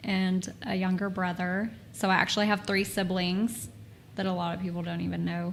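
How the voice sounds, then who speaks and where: With a Texan accent, a woman speaks at a moderate pace and medium pitch, somewhat breathy and with monotone, flat intonation. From Texas. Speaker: former model and talent agency owner. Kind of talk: casual chat.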